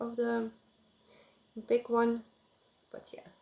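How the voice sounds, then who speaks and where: With a non-native accent, a woman talks at a fairly slow pace in a dark, mellow tone. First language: not English. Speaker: crafting vlogger. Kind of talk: casual chat. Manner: halting, many filler sounds.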